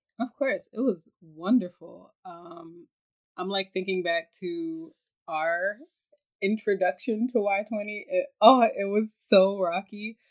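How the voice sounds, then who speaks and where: A woman with an American accent speaks in a plain, everyday voice at a medium pitch. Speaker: podcast host, youth summit delegate. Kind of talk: casual chat. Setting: video call.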